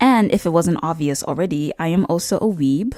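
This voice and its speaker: A woman's fairly low voice with a dark, mellow tone and lively intonation, at a moderate pace, on a very clean recording with a silent background. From China. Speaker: YouTuber, commentary. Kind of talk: casual commentary monologue.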